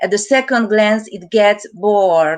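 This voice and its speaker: Speaking with a Hungarian accent at a fairly slow pace, a woman holds a medium pitch with ordinary pitch variation over a quiet background. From Hungary. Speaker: artist. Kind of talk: reading aloud artist statement.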